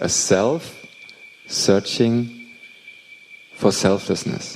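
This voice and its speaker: With a Thai accent, a man speaks at a very slow pace against noticeable background noise. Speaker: meditation teacher. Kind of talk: dharma talk. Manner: halting.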